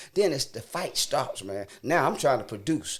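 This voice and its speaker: A man's animated tone with vocal fry at a moderate pace. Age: 60s. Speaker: preacher. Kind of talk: testimony.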